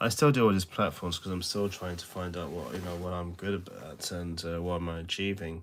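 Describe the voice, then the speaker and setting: Very deep, low male pitch at a fairly quick pace, fairly even intonation and hardly any pauses. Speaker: social media creator. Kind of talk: casual motivational talk to camera. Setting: self-recorded video. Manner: kept low, trying not to be loud; hesitant, many fillers.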